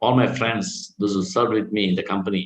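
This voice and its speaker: A man's fairly low, somewhat breathy voice. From India, Karnataka. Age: 60s. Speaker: Hare Krishna preacher. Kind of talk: Q&A after a scripture class.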